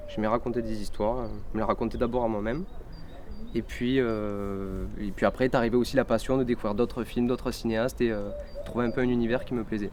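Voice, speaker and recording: With fairly even intonation and a medium pitch, a man rattles off his words very fast as noticeable background noise continues. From southern France, Cévennes (Gard). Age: 20s. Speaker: film student and filmmaker. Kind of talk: interview by school pupils. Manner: hesitant, many fillers.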